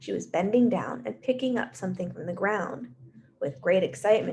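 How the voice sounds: Just a natural reading voice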